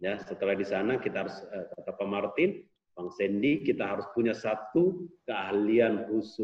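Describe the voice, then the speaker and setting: A man with a Makassar accent speaks at a fairly slow pace. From Makassar, South Sulawesi, Indonesia. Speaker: sales trainer and author. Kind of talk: online course interview.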